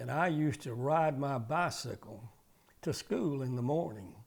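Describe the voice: At a fairly slow pace, a man with a medium pitch speaks with vocal fry and lively intonation.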